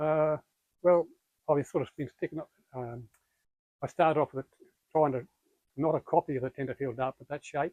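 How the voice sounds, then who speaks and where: A man with an Australian accent speaks fairly quickly at a fairly high pitch with fairly even intonation. Long, frequent pauses break it up, and the sound is dry and close with no echo. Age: 80s+. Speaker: fishing lure maker. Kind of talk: interview answer.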